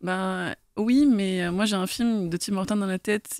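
A woman with a normal speaking voice, medium in pitch, with ordinary pitch variation and a dry, close sound with no echo. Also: very clean recording, silent background. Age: 30s. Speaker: graphic artist. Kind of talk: casual chat.

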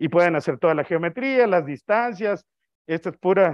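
A man's high-pitched voice with lively intonation over a quiet background. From Mexico. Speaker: astronomer, invited speaker; guest lecturer. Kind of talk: lecture. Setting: auditorium with audience, also streamed on video call. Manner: loud. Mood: relaxed, humorous. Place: hall.

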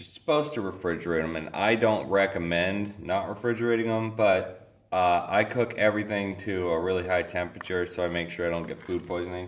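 Fairly quick in pace, a man speaks in a very deep, low pitch with ordinary pitch variation. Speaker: home cook vlogger. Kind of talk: cooking tutorial. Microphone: camera far.

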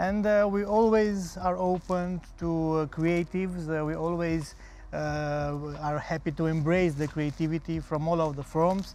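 In a Romanian accent, a man speaks at a high pitch and fairly slow pace with fairly even intonation, the sound dry with no echo. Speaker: festival co-founder; guest. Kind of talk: tv interview; interview answer. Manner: hesitant, many fillers. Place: studio. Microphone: lapel.

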